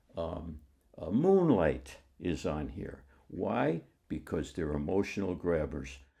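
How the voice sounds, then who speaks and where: A man with a very deep, low pitch, a dark, mellow tone, vocal fry, ordinary pitch variation and a very slow pace. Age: 80s+. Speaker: film enthusiast. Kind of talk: interview monologue. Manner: halting, frequent restarts and filler words.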